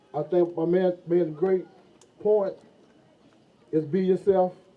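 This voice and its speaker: A man with a Southern US accent, a high pitch, monotone, flat intonation and a very slow pace. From US South, Florida. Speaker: former football player, motivational speaker. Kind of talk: motivational speech. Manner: repetitive, halting.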